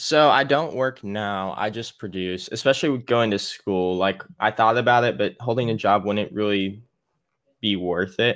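A man's plain, everyday voice with an American accent, fairly low pitch, ordinary pitch variation and a moderate pace. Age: 20s. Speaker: music producer. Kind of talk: casual interview chat. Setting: remote call.

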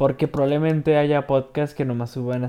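Here a man speaks at a medium pitch. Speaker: gaming podcaster. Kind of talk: game walkthrough commentary. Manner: halting.

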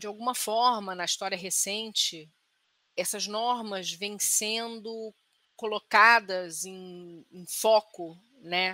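Very slowly and with fairly even intonation, a woman speaks in a bright, sharp tone while her loudness swings widely. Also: medium pitch for a woman. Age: 40s. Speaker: psychologist. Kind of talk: casual podcast discussion.

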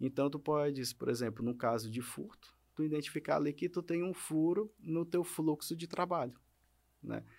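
A man talks in an ordinary speaking voice, fairly high pitched, at a moderate pace with ordinary pitch variation. The recording is very clean with a silent background. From Maranhão, Brazil. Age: 30s. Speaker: lawyer. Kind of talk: podcast interview. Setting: studio.

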